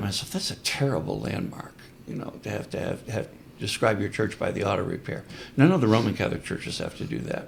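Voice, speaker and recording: Very wide pitch swings from a man at a fairly quick pace. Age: 70s. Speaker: priest and historian. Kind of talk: podcast interview.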